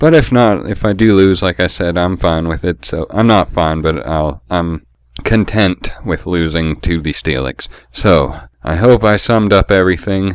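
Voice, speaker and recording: Ordinary pitch variation colors a man's very deep, low voice. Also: moderate pace. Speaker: Pokemon league player and video creator. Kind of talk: casual vlog monologue. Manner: halting, many fillers.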